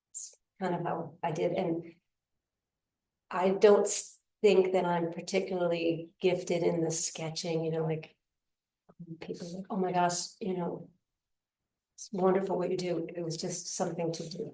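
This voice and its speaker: A woman's fairly low, monotone voice at a moderate pace, with long, frequent pauses and big swings in loudness. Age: 60s. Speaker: painter. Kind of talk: interview. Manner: halting.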